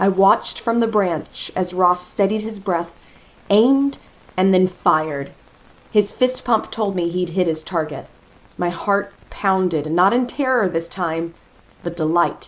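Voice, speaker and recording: A woman's unremarkable speaking voice at medium pitch, in an American accent, with ordinary pitch variation and a fairly slow pace. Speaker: voice actor. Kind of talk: horror story narration.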